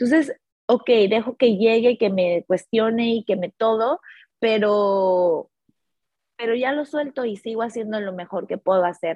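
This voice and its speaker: A woman's animated, fairly high voice at a fairly slow pace, with ordinary pitch variation. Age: 30s. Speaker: life coach. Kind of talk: casual chat.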